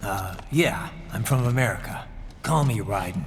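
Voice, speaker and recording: Clear background noise runs under a put-on character voice. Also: man, medium pitch for a man, moderate pace. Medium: short film.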